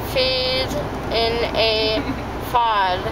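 Loud background noise accompanies a woman speaking at a very slow pace. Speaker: vlogger. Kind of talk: casual vlog chat. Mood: groggy, drowsy and silly. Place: car. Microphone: phone near.

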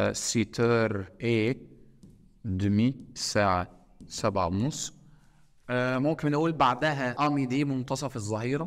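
Against a quiet background, a man speaks at a very slow pace with long, frequent pauses. His medium pitch shows ordinary variation. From Egypt. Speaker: teacher. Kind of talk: lecture. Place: classroom.

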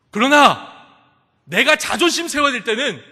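Against a quiet background, a man projects his voice at a moderate pace. His tone is bright and sharp. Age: 20s. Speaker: pastor. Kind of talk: sermon. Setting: church.

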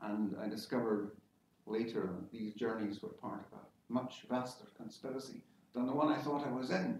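A man with fairly even intonation, audible room echo, and light background noise. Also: moderate pace. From Scotland, Isle of Lewis and Greenock; Scotland. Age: 60s. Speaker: science-fiction novelist; guest. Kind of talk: informal talk to an audience. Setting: lecture hall with audience. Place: classroom. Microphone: camera far.

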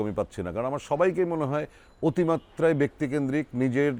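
A man with an ordinary speaking voice and a fairly high pitch uses lively intonation on a very clean recording with a silent background. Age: 50s. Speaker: actor. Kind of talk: interview. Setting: drama set.

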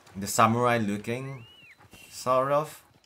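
There is audible room echo and noticeable background noise. A man speaks at a medium pitch. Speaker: video game streamer. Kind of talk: casual chat. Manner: soft-spoken.

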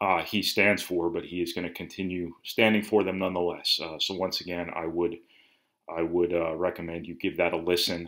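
Over a quiet background, a man speaks with a very deep, low pitch. His tone comes across bright and sharp. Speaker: sports reporter. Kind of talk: commentary. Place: home room. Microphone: webcam.

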